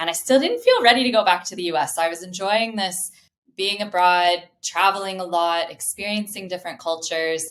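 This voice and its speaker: An ordinary speaking voice, this woman uses a medium pitch and an American accent, talking at a fairly quick pace with fairly even intonation. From US Midwest, Indianapolis. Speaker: customer success professional. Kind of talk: podcast interview.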